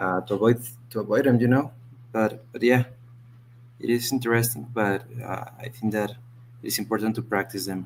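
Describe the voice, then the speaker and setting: A man speaks at medium pitch with monotone, flat intonation. He leaves long, frequent pauses. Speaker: English learner. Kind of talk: English lesson conversation. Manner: fast; halting.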